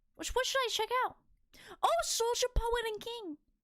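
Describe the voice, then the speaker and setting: A woman with a Boston accent, extremely high pitch and very wide pitch swings, bright, sharp and animated in tone, at a fairly slow pace. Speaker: VTuber streamer. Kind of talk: casual live stream chat.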